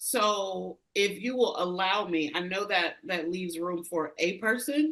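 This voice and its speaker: An ordinary speaking voice, this woman's medium-pitched delivery has an American accent, lively intonation and a fairly slow pace. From rural US. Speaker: leadership consultant. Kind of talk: interview conversation.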